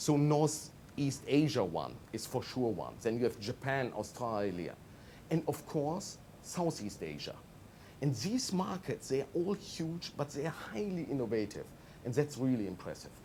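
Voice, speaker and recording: A man's dark, mellow tone with a German accent, fairly high in pitch, with vocal fry, lively intonation and a fairly slow pace. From Germany. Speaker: management consultant. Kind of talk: TV interview.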